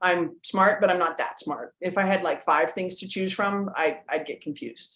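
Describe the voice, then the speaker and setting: With a plain, everyday voice, a woman speaks at a medium pitch and a moderate pace, her intonation fairly even. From western Canada. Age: 50s. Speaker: strength coach. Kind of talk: interview. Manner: casual, with fillers.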